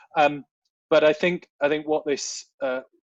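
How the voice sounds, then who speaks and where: A man with a British accent speaks with ordinary pitch variation, in a dry, close sound with no echo against a quiet background. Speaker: volunteer management consultant. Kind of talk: webinar Q&A answer. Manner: fast.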